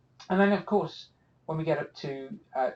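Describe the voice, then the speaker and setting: A man speaks with an American accent. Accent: British, noticeable to US audience. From UK. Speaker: cartography instructor. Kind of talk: live webinar presentation. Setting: office, online webinar. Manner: casual, many filler words.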